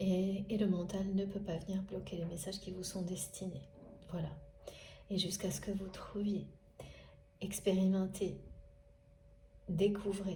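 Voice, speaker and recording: A woman's medium-pitched voice at a fairly slow pace, with long, frequent pauses, audible room echo and noticeable background noise. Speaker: spiritual guidance reader. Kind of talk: spiritual guidance monologue.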